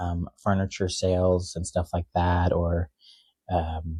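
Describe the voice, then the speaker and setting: Recorded dry and close with no echo against a quiet background, a man speaks with a very deep, low pitch. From Texas, Dallas. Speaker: singer and furniture salesman. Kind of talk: testimony interview. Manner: hesitant, many fillers.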